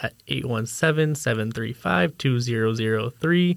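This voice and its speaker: A plain, everyday voice from a man with an American accent, medium pitch, ordinary pitch variation and moderate pace on a very clean recording with a silent background. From US, Idaho. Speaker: podcast co-host, university admissions staff. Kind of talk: casual interview.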